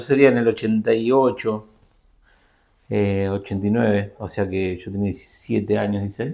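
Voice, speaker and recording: The pitch varies in an ordinary way as a man speaks at a moderate pace. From Argentina, Buenos Aires province. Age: 50s. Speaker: systems analyst and teacher. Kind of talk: interview. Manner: halting.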